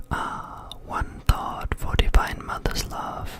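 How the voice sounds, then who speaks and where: A man whispering at a very slow pace with a German accent, amid noticeable background noise. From Germany. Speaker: ASMR content creator. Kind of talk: ASMR reading aloud from a book. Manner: whispered, relaxing.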